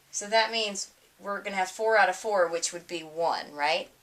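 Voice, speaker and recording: Moderate pace, ordinary pitch variation from a woman. It is an ordinary speaking voice. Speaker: teacher. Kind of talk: recorded lecture.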